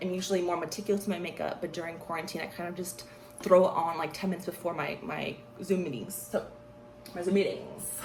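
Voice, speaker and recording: A woman at medium pitch, animated in tone and very fast in pace, with audible room echo and noticeable background noise. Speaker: beauty vlogger. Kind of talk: makeup tutorial chat. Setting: home, wearing earphones.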